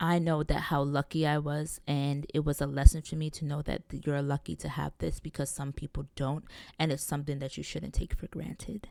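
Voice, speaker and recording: Very deep and low in pitch, a woman speaks at a moderate pace with a dark, mellow tone and monotone, flat intonation, hardly pausing. The recording is very clean, with a silent background. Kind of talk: solo podcast monologue. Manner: casual, conversational.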